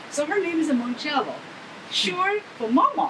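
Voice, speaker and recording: With a Chinese accent, a woman talks at a moderate pace over noticeable background noise. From China. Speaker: animal rights activist and violinist. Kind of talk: interview. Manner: halting.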